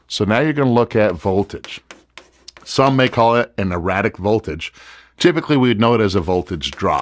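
The man's fairly quick delivery carries lively intonation. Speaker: presenter. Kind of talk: tutorial.

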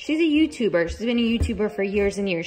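A woman's pitch ranges very widely against noticeable background noise. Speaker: mom vlogger. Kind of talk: casual vlog chat. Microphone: phone near.

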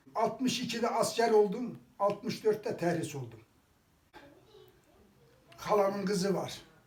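A man's high-pitched voice with an eastern Anatolian accent, fairly slow and broken by long, frequent pauses, with ordinary pitch variation and noticeable background noise. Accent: eastern Anatolian Turkish (Kars). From Kars, eastern Turkey. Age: 80s+. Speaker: villager. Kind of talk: interview answer.

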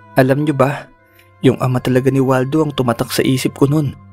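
A man's medium-pitched voice in monotone, flat intonation, with music in the background. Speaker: horror story narrator. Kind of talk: horror story narration. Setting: home studio with condenser microphone.

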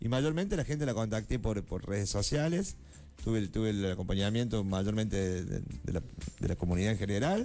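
Lively intonation moves at a moderate pace over faint music in the background. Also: man. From Argentina, Córdoba; Argentina. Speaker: library science student and poet; poet. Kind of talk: interview. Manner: halting, many fillers. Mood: relaxed, friendly. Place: studio. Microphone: studio mic.

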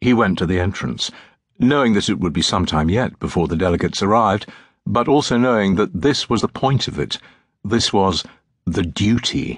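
Against a quiet background, a man speaks in a dramatic tone with vocal fry at a moderate pace. His pitch is fairly low and his intonation lively. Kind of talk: audiobook narration of a dark fantasy novel, read aloud. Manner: measured, brooding storytelling pace with dramatic pauses.

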